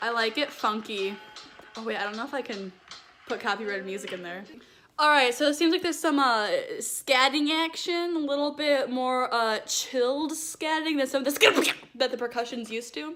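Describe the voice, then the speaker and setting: A woman speaks loudly, with a high pitch and a bright, sharp tone. Her intonation is lively, and the recording is very clean with a silent background. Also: moderate pace. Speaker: vlogger. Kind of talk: casual chat.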